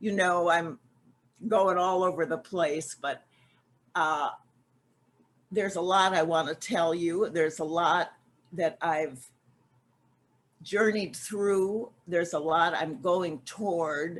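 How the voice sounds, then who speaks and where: The woman's voice is fairly low in pitch. She speaks at a very slow pace, with long, frequent pauses. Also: ordinary pitch variation. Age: 80s+. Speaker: recovery group speaker. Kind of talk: testimony. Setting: video call. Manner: halting.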